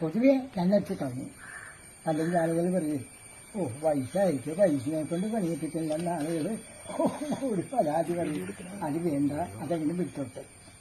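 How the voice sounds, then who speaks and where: A fairly high-pitched man with lively intonation, over noticeable background noise. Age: 80s+. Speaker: yoga teacher. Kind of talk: interview.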